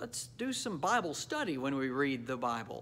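The man speaks at a fairly slow pace. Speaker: pastor. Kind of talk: devotional talk. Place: church. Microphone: phone near.

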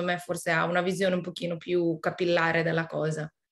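The woman's voice sits at a fairly low pitch. The background is quiet. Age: 30s. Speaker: motorsport team coordinator; panelist. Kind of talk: webinar interview. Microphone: video call.

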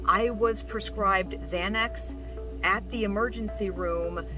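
With clear music in the background, a woman speaks at a very slow pace in a dry sound with no echo. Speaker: vlogger with stroke-like aphasia. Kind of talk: personal vlog talk to camera. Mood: earnest, a bit strained. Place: car. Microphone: phone near.

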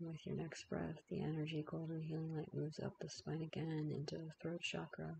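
A woman speaks with hardly any pauses. Her loudness stays very even. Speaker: naturopathic physician and yoga teacher. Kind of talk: slow guided healing meditation with breath cues and imagery. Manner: repetitive lulling cadence with hesitations like um, uh.

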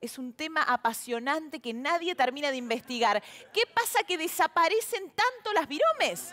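Her pitch swinging very widely, a woman speaks in an animated tone at a moderate pace. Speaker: TV show host and comedian. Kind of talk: stand-up monologue intro, then show hosting. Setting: TV studio with audience. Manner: animated, chatty, humorous. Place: stage. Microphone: headset.

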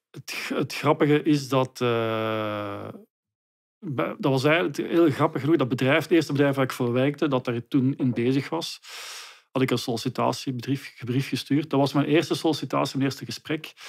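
A man talks at a moderate pace against a quiet background. His pitch variation is ordinary. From Belgium, Leuven area (Flanders); Belgium. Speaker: trademark consultant; guest. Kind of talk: interview. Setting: studio. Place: home room. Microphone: studio mic.

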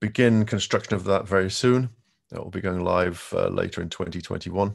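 Behind this man's voice, the background stays quiet. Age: 50s. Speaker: tech company quantum manager; presenter. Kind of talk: conference presentation. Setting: video call. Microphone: video call.

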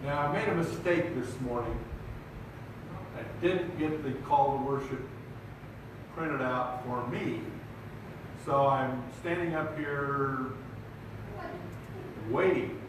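A man talks at a very slow pace, leaving long, frequent pauses, with ordinary pitch variation. Strong room echo and noticeable background noise are present. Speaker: preacher. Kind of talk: sermon. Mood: warm, light-hearted. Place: hall.

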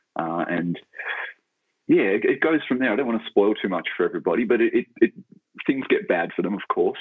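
With an Australian accent, a man talks at a fairly quick pace. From Tasmania, Australia (Launceston). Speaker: novelist and writing lecturer. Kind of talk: interview. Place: home room. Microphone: earbuds.

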